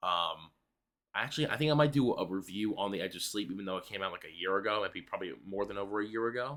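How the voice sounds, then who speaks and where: Someone talks quietly at a very fast pace on a very clean recording with a silent background. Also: man, fairly low pitch for a man, lively intonation. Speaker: YouTuber, movie reviewer. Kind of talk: casual vlog review. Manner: hesitant, many fillers.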